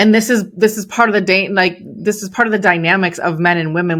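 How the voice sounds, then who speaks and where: A woman talks at a fairly quick pace with a Chicago accent. Her intonation stays fairly even. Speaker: entrepreneur and business coach. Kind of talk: podcast interview. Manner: casual, with frequent fillers.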